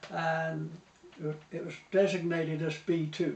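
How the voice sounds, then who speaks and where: There is noticeable background noise behind this man. His pitch is high and his pace fairly slow. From Portsmouth, England. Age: 80s+. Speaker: war veteran. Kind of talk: interview answer.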